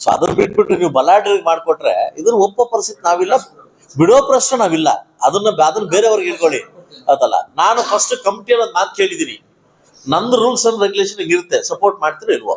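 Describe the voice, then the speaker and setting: His voice is high-pitched. The man's pitch swings very widely. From India, Karnataka (Mulbagal, Kolar). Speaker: politician. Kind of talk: speech to meeting or press. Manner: emphatic, repetitive.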